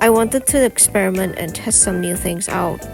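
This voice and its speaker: A woman's medium-pitched voice at a moderate pace, ordinary in pitch variation, with music in the background. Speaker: digital artist. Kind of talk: art process narration.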